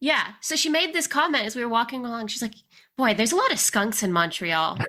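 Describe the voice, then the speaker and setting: This woman talks at a very fast pace in a bright, sharp tone, her fairly high pitch swinging very widely. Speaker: podcast host. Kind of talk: podcast interview questions.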